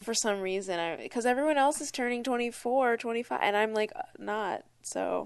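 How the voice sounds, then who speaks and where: Against a quiet background, a woman with an unremarkable speaking voice talks at a moderate pace and fairly high pitch, with ordinary pitch variation. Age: 20s. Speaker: podcast co-host. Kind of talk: casual chat.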